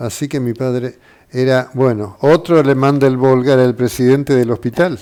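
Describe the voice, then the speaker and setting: This man's dark, mellow voice sits at a medium pitch, moving at a moderate pace with fairly even intonation. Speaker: doctor. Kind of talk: interview.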